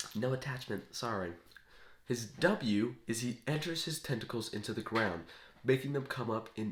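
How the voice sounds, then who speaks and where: Somewhat breathy, a man speaks at a moderate pace. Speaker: gaming video creator. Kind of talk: casual explanation of game concepts. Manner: casual, with fillers and self-corrections.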